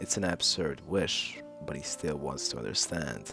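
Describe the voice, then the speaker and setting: With music in the background, a man speaks in a very deep, low voice. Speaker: video essayist. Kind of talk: video essay narration.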